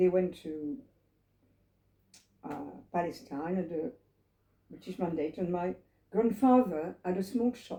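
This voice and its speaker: Her tone is dark and mellow. The woman speaks with lively intonation. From France, Paris. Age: 80s+. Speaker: Holocaust survivor. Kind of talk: testimony. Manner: halting.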